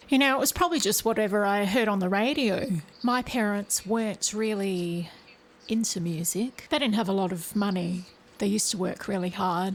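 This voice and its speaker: In an Australian accent, a woman speaks at a moderate pace with medium pitch and ordinary pitch variation. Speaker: singer. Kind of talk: interview.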